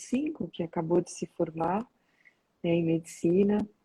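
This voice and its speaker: A woman's voice, fairly low in pitch and somewhat breathy, carries a dark, mellow tone. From São Paulo, Brazil. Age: 60s. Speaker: organizational development consultant. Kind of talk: casual interview.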